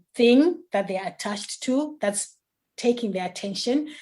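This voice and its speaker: Against a quiet background, a woman talks at a moderate pace in a dark, mellow, somewhat breathy tone. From Zimbabwe. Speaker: mental health nurse and parent coach. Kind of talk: interview answer.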